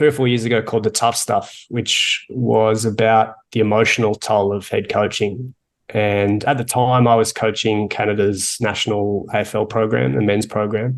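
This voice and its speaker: A man talks with an Australian accent. His pace is moderate and the background is quiet. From Australia, Melbourne. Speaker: coach of sports coaches and author. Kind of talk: interview.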